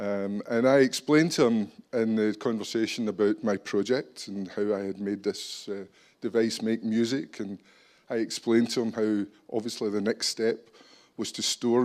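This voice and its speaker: This man has a Scottish accent and a medium pitch. He talks at a moderate pace with fairly even intonation. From Scotland. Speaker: business executive. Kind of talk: conference talk.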